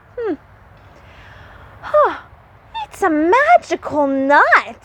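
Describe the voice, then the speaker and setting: The speaker uses a put-on character voice at an extremely high pitch and a very slow pace. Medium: read story.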